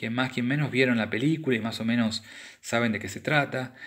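A man at a medium pitch and moderate pace, in a very clean recording with a silent background. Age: 40s. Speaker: book reviewer. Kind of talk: book review monologue. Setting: home recording. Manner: halting, many repetitions and fillers.

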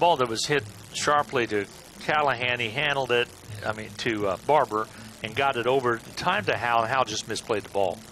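With an energetic tone and a medium pitch, a man speaks over noticeable background noise. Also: ordinary pitch variation, moderate pace. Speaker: baseball play-by-play announcer. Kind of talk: live baseball play-by-play commentary. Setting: ballpark broadcast booth. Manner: brisk, fluent, energetic play-by-play delivery.

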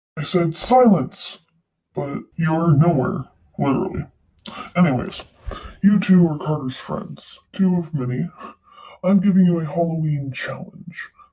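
Putting on a character voice, a man speaks with a high pitch at a moderate pace, leaving long, frequent pauses. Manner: commanding, playful.

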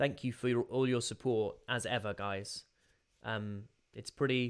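A man at a fairly slow pace with fairly even intonation, quiet background. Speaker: voice actor, live streamer. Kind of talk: casual live stream chat with viewers. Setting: live stream, gaming. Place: home room. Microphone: headset.

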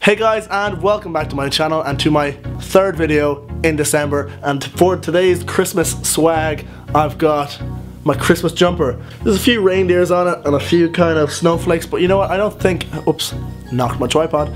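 Clear music plays behind a man speaking at a moderate pace, his fairly high pitch showing ordinary variation. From Ireland. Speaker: vlogger. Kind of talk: casual talk to camera. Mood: jokey, self-mocking. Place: home room. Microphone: phone near.

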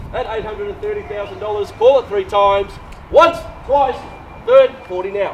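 Against light background noise, a man with a high pitch talks at a moderate pace with lively intonation. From Australia. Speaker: property auctioneer and agency director. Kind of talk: live property auction call. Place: street. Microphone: camera far.

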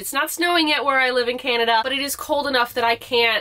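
A woman's raised, projected voice. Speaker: sewing vlogger. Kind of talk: casual vlog chat. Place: home room. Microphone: camera far.

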